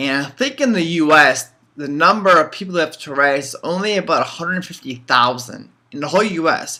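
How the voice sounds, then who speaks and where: On a very clean recording with a silent background, a high-pitched man talks at a fairly quick pace. His intonation is lively and his loudness swings widely. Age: 20s. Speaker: vlogger with Tourette syndrome. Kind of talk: casual vlog monologue. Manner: halting, with many fillers and repetitions.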